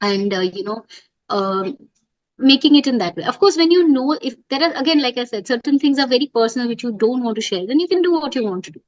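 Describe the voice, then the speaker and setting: A high-pitched woman in an Indian accent, very fast and with lively intonation. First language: Hindi. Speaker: poet and business writer. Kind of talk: interview.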